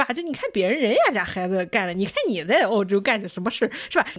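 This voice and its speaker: Lively intonation and a very fast pace mark a woman's speech through noticeable background noise. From Qingdao, China. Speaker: podcast host. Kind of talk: casual chat.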